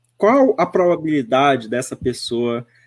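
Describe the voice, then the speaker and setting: In a dry, close recording with no echo, a man with a fairly high voice speaks very slowly with lively intonation. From Northeast Brazil. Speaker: spiritist speaker. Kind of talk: radio interview. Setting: web radio.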